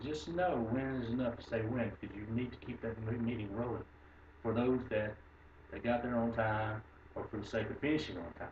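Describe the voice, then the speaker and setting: Amid noticeable background noise and audible room echo, a man with a Texas accent speaks at a medium pitch with ordinary pitch variation. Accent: Texas drawl. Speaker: construction supervisor. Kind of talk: lecture.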